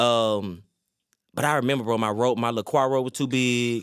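Medium in pitch, a man talks at a fairly quick pace with fairly even intonation. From US South, North Carolina. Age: 30s. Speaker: gospel singer. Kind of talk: casual chat. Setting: studio.

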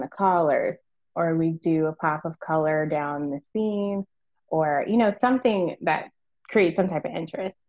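A woman with a plain, everyday voice talks at a moderate pace, her fairly low pitch showing ordinary variation. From Virginia, US. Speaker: merchandising strategist. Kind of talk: interview.

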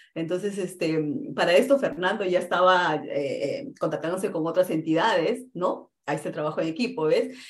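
A woman speaks with a Peruvian accent. Her intonation is lively. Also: medium pitch for a woman, moderate pace. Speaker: real estate investor. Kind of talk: interview.

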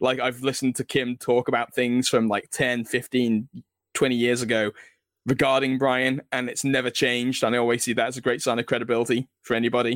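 Recorded dry and close with no echo, a man talks at a fairly quick pace with a medium pitch and monotone, flat intonation. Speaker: author. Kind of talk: interview conversation.

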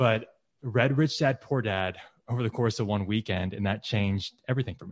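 This man talks at a fairly quick pace with medium pitch and ordinary pitch variation. His loudness swings a lot, and it is an unremarkable speaking voice. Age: 20s. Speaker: real estate investor. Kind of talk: podcast interview.

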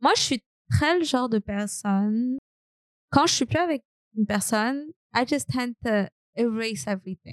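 In a French accent, a woman talks at a moderate pace with lively intonation and long, frequent pauses. Her fairly high voice sounds dry and close, with no echo. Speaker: podcast host. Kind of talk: casual chat. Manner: playful, teasing.

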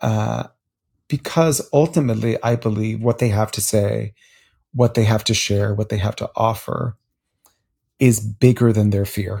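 A man's fairly low, somewhat breathy voice with a dark, mellow tone, ordinary pitch variation, a fairly slow pace and long, frequent pauses, on a very clean recording with a silent background. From US, Miami, Florida (Cuban-American). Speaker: public speaking coach, former stage actor. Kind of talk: interview. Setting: at home in bed.

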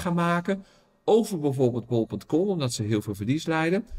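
A man's fairly high-pitched, ordinary speaking voice with lively intonation, on a very clean recording with a silent background. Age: 50s. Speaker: retail researcher and business owner. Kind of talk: interview.

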